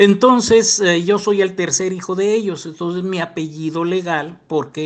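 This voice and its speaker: A man speaks with a Mexican accent. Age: 70s. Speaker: former church member telling his story. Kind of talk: personal testimony interview. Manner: hesitant with self-corrections.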